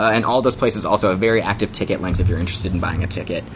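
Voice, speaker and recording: A man amid noticeable background noise. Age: 30s. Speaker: actor and theater artist. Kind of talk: casual interview.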